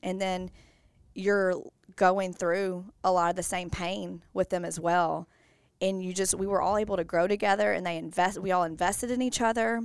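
Medium in pitch with an American accent, a woman speaks at a moderate pace with fairly even intonation in an unremarkable speaking voice, on a very clean recording with a silent background. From US South, Bossier, Louisiana. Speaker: preschool teacher and mother. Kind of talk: casual interview.

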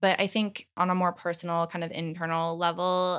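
The clip has a normal speaking voice at a moderate pace. The recording is very clean, with a silent background. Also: woman. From US, military family moving between states and Italy. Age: 20s. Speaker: project manager. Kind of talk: interview.

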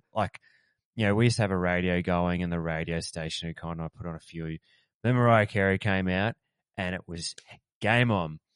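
Over a quiet background, the voice moves at a fairly quick pace with fairly even intonation and long, frequent pauses, in a dry, close sound with no echo. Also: man, very deep, low pitch for a man. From country town in Australia. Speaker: podcast co-host. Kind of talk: casual chat.

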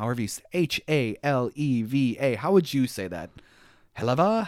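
On a very clean recording with a silent background, a man speaks in an ordinary speaking voice at a medium pitch with ordinary pitch variation. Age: 40s. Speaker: podcast host. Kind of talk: casual chat. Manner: joking, playful.

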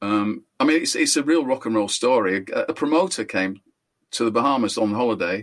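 A man at medium pitch with a Yorkshire accent, talking at a fairly quick pace. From northern England. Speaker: guitarist and singer. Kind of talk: casual interview chat.

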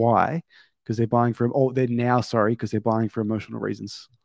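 A man with an Australian accent, medium pitch and fairly even intonation, in a dry, close sound with no echo and a quiet background. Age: 30s. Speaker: podcast host, gym business owner. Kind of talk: podcast interview.

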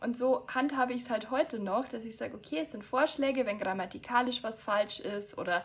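A woman speaks in a plain, everyday voice. Her pace is moderate and her pitch varies in an ordinary way. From Bavaria, near Munich. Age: 20s. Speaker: author. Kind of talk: casual chat.

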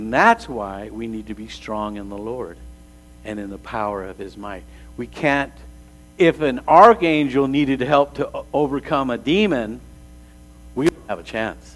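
A man's medium-pitched voice with lively intonation, a fairly slow pace, long, frequent pauses and big swings in loudness. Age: 60s. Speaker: pastor. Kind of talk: sermon.

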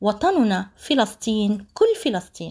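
A woman speaks very slowly in a fairly high, somewhat breathy voice with lively intonation. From Palestine, Jaffa. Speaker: podcast host and writer. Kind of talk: formal podcast presentation. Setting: remote interview. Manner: formal.

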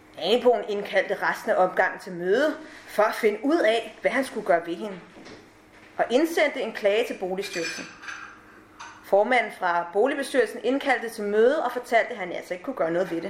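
Over noticeable background noise, a woman speaks at a moderate pace and a fairly high pitch, with lively intonation and big swings in loudness. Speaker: actress. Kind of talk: reading aloud. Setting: stage with audience.

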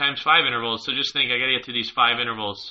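His pitch sits at a medium level for a man. He has an unremarkable speaking voice with fairly even intonation. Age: 30s. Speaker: pro triathlete and firefighter. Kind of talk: casual interview.

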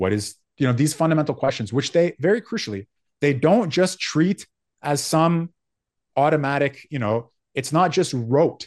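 Against a quiet background, a man with a fairly high pitch speaks at a moderate pace with lively intonation. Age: 40s. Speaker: philosophy teacher. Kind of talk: interview.

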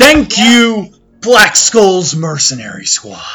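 In a put-on character voice, a man with a high pitch projects loudly, swinging his pitch very widely at a very slow pace. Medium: actual play. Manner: hearty, boisterous.

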